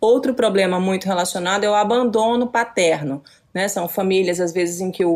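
Here is a woman with a normal speaking voice at a medium pitch. She talks at a moderate pace with ordinary pitch variation. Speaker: journalist and researcher. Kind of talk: interview.

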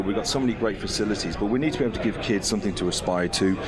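Noticeable background noise under a man's very fast speech. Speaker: rugby club president. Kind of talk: radio interview. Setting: studio.

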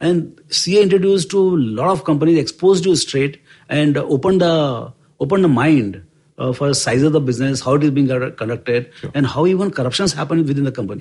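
Here a man speaks at a fairly quick pace with a fairly high pitch. His voice is somewhat breathy. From rural India. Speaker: investment firm co-founder. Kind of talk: interview storytelling. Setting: office. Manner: halting.

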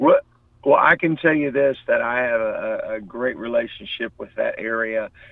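Over noticeable background noise, a man talks at a fairly slow pace with a slight Appalachian accent. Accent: slight Southern hillbilly twang. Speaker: touring musician. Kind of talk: interview. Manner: halting, many repetitions.

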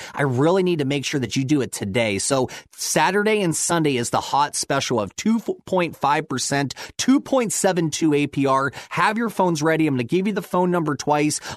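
A man's fairly high-pitched, normal speaking voice, quick-paced with lively intonation and hardly any pauses. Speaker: mortgage expert. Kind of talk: infomercial pitchman. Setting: radio studio. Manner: hyped-up, fast, pushy salesman patter, repeating the phone number; excitable.

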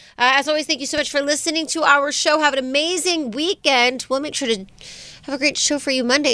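A woman speaks in a raised, projected voice with a high pitch and a bright, sharp, animated tone. The recording is very clean, with a silent background. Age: 30s. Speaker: morning show co-host. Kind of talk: casual chat.

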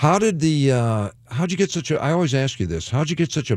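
Very wide pitch swings at a moderate pace. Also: man. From Detroit, US Midwest. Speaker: radio DJ and comedian. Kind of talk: casual chat.

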